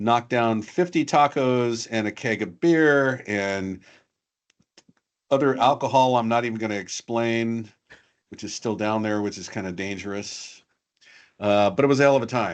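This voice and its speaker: A man at a medium pitch speaks at a moderate pace with ordinary pitch variation and big swings in loudness. Long, frequent pauses break up his speech against a quiet background. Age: 60s. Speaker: cybersecurity guest expert. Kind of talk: casual interview chat.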